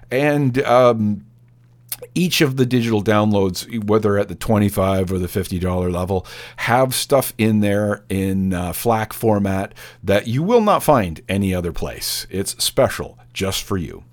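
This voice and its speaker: Delivered at a fairly slow pace with ordinary pitch variation, this is a plain, everyday voice. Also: man, fairly low pitch for a man. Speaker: radio DJ. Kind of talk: radio DJ patter, back-announcing tracks and pitching the membership drive. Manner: casual, chatty, conversational; fills pauses with uh and um.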